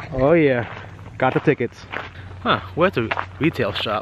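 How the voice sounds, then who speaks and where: A man's moderate-paced speech, dry with no echo, over noticeable background noise. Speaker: vlogger. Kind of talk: casual vlog chat. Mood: cheerful, upbeat. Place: street. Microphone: phone near.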